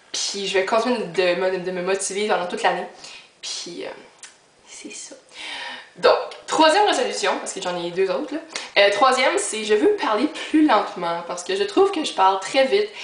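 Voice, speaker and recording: A woman with a Quebec accent speaks at a fairly high pitch with lively intonation and long, frequent pauses, amid noticeable background noise and audible room echo. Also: moderate pace. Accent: Québécois French. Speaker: YouTuber. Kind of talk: casual vlog. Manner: filler-heavy.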